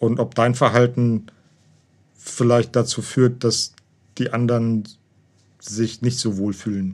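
Long, frequent pauses break up a man's fairly slow speech. His medium pitch stays in a monotone, flat intonation. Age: 40s. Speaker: host's partner. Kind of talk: casual conversation. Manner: halting, repeats words.

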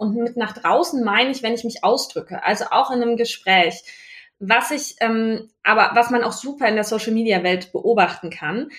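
With a fairly high pitch and lively intonation, a woman speaks at a moderate pace in a somewhat breathy voice. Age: 30s. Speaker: business owner and university lecturer. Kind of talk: casual interview. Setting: in person, recorded side by side.

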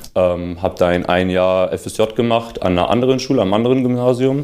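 A man speaks at a moderate pace with ordinary pitch variation, with noticeable background noise behind him. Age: 20s. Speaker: former student talking about career choice. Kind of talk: casual interview.

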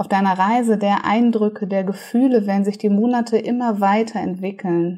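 This woman has an unremarkable speaking voice, pitched in the medium range with ordinary pitch variation. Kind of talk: guided meditation. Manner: soothing, slow, calm, gentle pacing with pauses; warm, hypnotic, dreamy.

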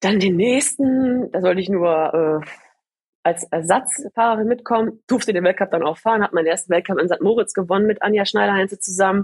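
Here is an ordinary speaking voice at a fairly quick pace with ordinary pitch variation, recorded in a dry, close sound with no echo. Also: woman, medium pitch for a woman. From Ruhr area, Germany (Gladbeck). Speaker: bobsleigh athlete. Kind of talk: interview.

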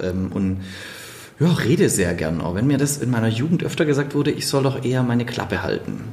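Amid noticeable background noise and audible room echo, a man with a slight Swabian accent talks at a fairly quick pace, at a medium pitch and with lively intonation. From Swabia, Stuttgart (southwest Germany). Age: 30s. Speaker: keynote speaker. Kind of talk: casual interview. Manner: sing-song lilt.

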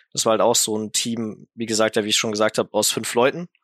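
On a very clean recording with a silent background and a dry, close sound with no echo, a man talks at a fairly quick pace in a bright, sharp tone. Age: 20s. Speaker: esports player. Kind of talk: casual interview.

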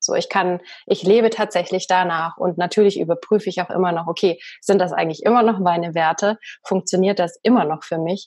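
A woman's medium-pitched voice at a fairly quick pace, with fairly even intonation over a quiet background. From Bavaria, Germany. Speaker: podcast host and coach. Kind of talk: interview conversation. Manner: trained speaking from acting school.

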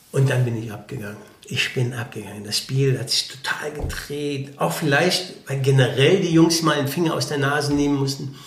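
The voice carries audible room echo. Behind it sits noticeable background noise. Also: man, fairly high pitch for a man, ordinary pitch variation, moderate pace. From Germany, Eifel region. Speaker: former professional footballer. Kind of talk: casual interview. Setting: café.

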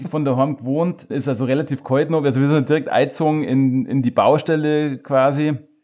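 Noticeable background noise runs through the clip. The man talks at a moderate pace. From Chiemgau, Bavaria, Germany. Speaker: beard-care product maker. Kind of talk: casual interview. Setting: host's living room.

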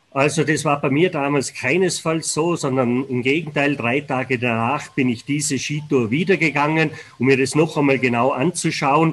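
Over noticeable background noise, a man with a fairly high voice keeps a moderate pace and fairly even intonation, with hardly any pauses. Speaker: avalanche warning expert. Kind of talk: interview. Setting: remote connection.

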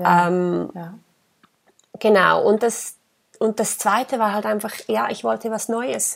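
A woman speaks extremely slowly, stopping often for long stretches. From Switzerland, Engadin (Graubünden). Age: 30s. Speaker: shop owner and entrepreneur. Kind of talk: interview.

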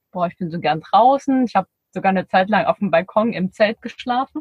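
The speaker uses a plain, everyday voice with ordinary pitch variation. The pace is fairly quick. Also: woman. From Erzgebirge, Saxony. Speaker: podcaster and van traveler. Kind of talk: casual interview. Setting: in a parked camper van.

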